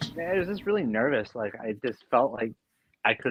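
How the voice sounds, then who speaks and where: A man speaks at a fairly quick pace. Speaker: actor in a fan film. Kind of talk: casual chat. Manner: soft-spoken.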